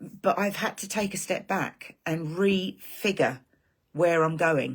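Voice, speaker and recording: Vocal fry in a woman's fairly low voice, with an English accent and a very slow pace. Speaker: online marketing creator. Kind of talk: live stream monologue. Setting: live stream. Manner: animated.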